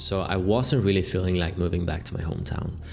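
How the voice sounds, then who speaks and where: A man with a very deep, low pitch and fairly even intonation, music in the background. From Sweden. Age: 20s. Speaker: content creator. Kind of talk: unscripted video log monologue. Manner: casual, rambling with self-corrections.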